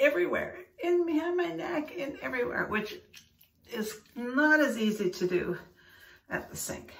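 In a room with audible echo, a woman talks at a fairly slow pace. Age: 70s. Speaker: skincare vlogger. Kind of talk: casual talk to camera. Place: bathroom. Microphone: phone near.

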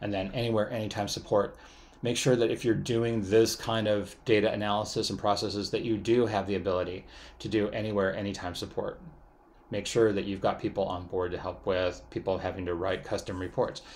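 With an ordinary speaking voice, a man talks at a fairly quick pace, his fairly low pitch kept in fairly even intonation. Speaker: university lecturer. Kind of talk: lecture. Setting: recorded online class video.

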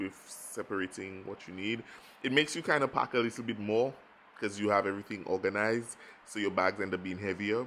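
Light background noise accompanies a man with a plain, everyday voice. He speaks fairly quickly at a fairly low pitch, with fairly even intonation. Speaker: travel vlogger. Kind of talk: casual vlog chat. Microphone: phone near.

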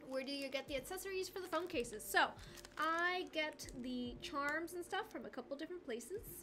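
A woman's high-pitched, raised and projected voice rings out with lively intonation over music in the background. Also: moderate pace. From Argentina. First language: Spanish. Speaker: craft livestreamer. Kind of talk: casual livestream chat with viewers. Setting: livestream. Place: home room.

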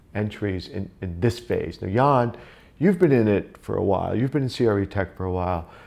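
This man speaks at a fairly low pitch with ordinary pitch variation. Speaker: tech industry vlog host. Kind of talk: roundtable interview. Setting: in-person at an office. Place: office. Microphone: lapel.

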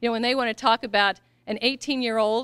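A woman with an American accent speaks at a fairly quick pace and fairly high pitch, with fairly even intonation, a normal speaking voice and a quiet background. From US Midwest, Missouri. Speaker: political candidate; candidate. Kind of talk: campaign speech. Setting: event with audience. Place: hall. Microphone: podium.

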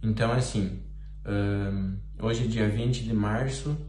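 A man speaks with audible room echo and light background noise around his voice. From Brazil, Santa Catarina. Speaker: football player. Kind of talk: video testimony appeal. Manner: hesitant, many fillers. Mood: serious, concerned. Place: home room. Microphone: phone near.

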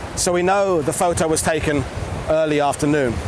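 A high-pitched man at a moderate pace with ordinary pitch variation, dry sound with no echo, and noticeable background noise. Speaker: historian guide. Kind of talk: on-location explanation to camera. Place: beach.

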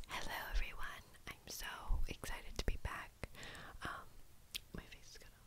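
A woman whispering at a moderate pace, with long, frequent pauses. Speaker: ASMR creator. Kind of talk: ASMR makeup tutorial. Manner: whispered. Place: home room.

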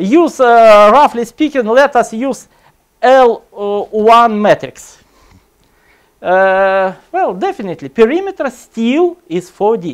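Against a quiet background, a man speaks. His pace is very slow. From Russia. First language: Russian. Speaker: computer science lecturer; lecturer. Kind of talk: conference talk. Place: hall.

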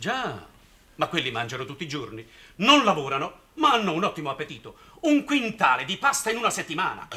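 A put-on character voice, bright and sharp in tone with a slightly husky edge, big pitch swings and a fairly quick pace. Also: man, fairly high pitch for a man.

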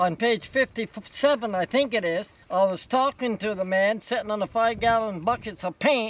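The sound is dry, with no echo. Pace is moderate and pitch variation ordinary. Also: man. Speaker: folk artist, creator of a painted desert monument. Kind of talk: casual interview talk. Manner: earnest, warm. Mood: warm, earnest, gentle. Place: open country.

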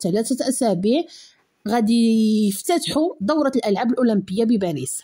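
A woman speaks with a Moroccan accent at a moderate pace against a quiet background. Her tone is dark and mellow, her intonation lively. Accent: Moroccan Darija. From Morocco. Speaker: news commentary YouTuber. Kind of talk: news commentary. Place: home room. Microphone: studio mic.

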